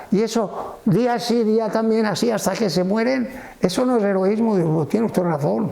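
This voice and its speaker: A man speaks at a high pitch with very even loudness, with noticeable background noise and audible room echo. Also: ordinary pitch variation, moderate pace. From Valencia region, Spain (Cullera). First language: Valencian (speaking Spanish). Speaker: retired Greek and Latin teacher. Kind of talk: interview.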